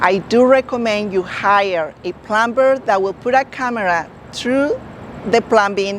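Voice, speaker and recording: Over noticeable background noise, a woman talks with a non-native accent. Her pitch is fairly high and her pace fairly slow. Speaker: real estate agent. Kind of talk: informational talk to camera.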